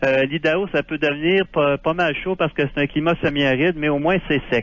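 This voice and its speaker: A man with a plain, everyday voice speaks at a fairly quick pace in a fairly high pitch. His loudness stays very even and his intonation fairly even. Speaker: Quebec expat, libertarian writer. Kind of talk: radio phone interview.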